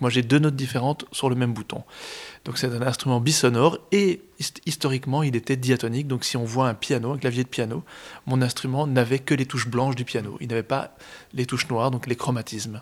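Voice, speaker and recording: A man in an ordinary speaking voice, medium in pitch, at a fairly quick pace with fairly even intonation, on a very clean recording with a silent background. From Brussels, Belgium. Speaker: accordionist. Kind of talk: interview.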